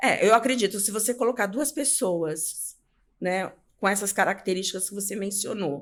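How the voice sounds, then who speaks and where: A woman speaks at a moderate pace, her voice at a medium pitch with ordinary pitch variation. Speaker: public speaking coach. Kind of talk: interview. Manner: talkative.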